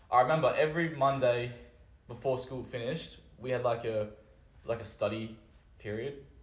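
A somewhat breathy man with an Australian accent, medium pitch, and a fairly quick pace, with audible room echo. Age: 20s. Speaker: vertical jump coach. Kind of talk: casual chat.

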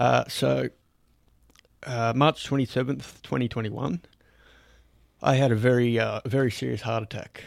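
A man with an Australian accent and ordinary pitch variation speaks with long, frequent pauses in a very clean recording with a silent background. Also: medium pitch for a man, fairly slow pace. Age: 30s. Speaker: podcast host. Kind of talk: casual chat.

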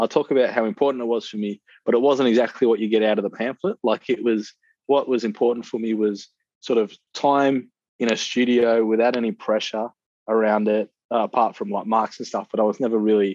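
With an Australian accent, a man talks fairly quickly at a medium pitch. His intonation is monotone and flat, and the sound is dry and close with no echo. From Perth, Western Australia. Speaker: visual artist. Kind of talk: interview.

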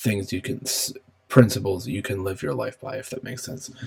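Somewhat breathy, a man talks at a medium pitch with ordinary pitch variation. He keeps a moderate pace. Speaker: podcaster. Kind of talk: casual solo podcast monologue. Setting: home office, recording alone. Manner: rambling, filler words, casual.

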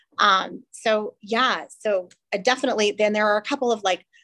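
A woman with an American accent, an ordinary speaking voice, medium pitch and a moderate pace. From Texas. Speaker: sports fan. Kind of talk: casual chat.

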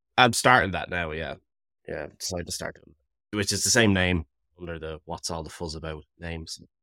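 With an Irish accent, a man talks at a fairly quick pace in a very deep, low pitch, his bright, sharp tone showing ordinary pitch variation and big swings in loudness, the sound dry and close with no echo. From Ireland. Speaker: podcaster and musician. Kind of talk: casual podcast conversation. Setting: remote call.

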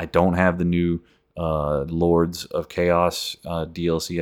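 In a very clean recording with a silent background, a man speaks in a very deep, low voice. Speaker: gaming podcast host. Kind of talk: casual monologue. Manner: even-keeled, low-key delivery; not audibly excited.

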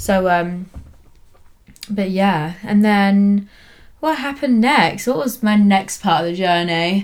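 A woman with a southern English accent speaks at a very slow pace with long, frequent pauses. Her medium pitch shows ordinary variation, and her loudness stays very even. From England, Cambridge. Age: 20s. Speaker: lash technician and business owner. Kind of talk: casual chat. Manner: animated, frequent laughter.

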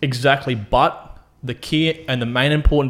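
A man talks in an ordinary speaking voice at a medium pitch, his intonation fairly even. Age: 20s. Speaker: podcast co-host. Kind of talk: casual chat.

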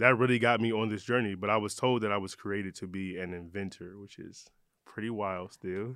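A man with an American accent and a normal speaking voice, fairly low in pitch, at a fairly quick pace, with fairly even intonation and big swings in loudness. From Michigan, Detroit. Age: 30s. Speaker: eyewear brand founder. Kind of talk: interview. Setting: studio.

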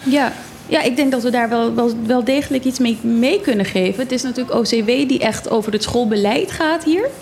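A woman with a high voice speaks at a moderate pace, with ordinary pitch variation and very even loudness, over noticeable background noise. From Netherlands, Zwolle. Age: 30s. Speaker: island politician. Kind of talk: radio interview.

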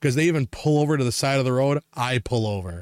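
An animated man with an American accent talks at a very fast pace and a fairly high pitch. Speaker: podcast host. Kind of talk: casual chat, storytelling, angry rant. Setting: podcast recording. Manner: animated, profane, ranting.

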